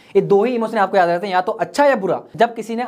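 A high-pitched man speaks in an animated tone with ordinary pitch variation. The background is quiet. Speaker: communication skills trainer. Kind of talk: tutorial. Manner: fast. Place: studio. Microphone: lapel.

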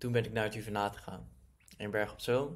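Against a quiet background, a man speaks at a medium pitch. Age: 20s. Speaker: online entrepreneur. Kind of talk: personal story monologue. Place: home room. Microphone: webcam.

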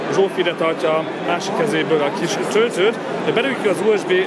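Loud background noise is present throughout. Over it, a man talks at a moderate pace. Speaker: tech reviewer. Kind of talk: product demo commentary. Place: hall.

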